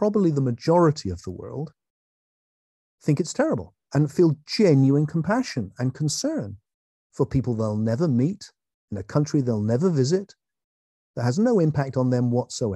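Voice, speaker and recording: A man with a somewhat breathy, dark and mellow voice at a fairly high pitch speaks with very wide pitch swings and long, frequent pauses. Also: quiet background. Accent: English. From England. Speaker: philosopher and author. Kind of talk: online talk. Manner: animated.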